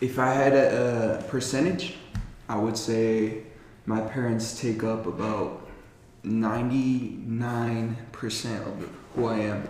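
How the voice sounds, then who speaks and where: Very slow delivery from a man, his intonation fairly even. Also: medium pitch for a man. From Colorado, US. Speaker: podcast co-host and youth mentor. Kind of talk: casual chat. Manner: laughs often.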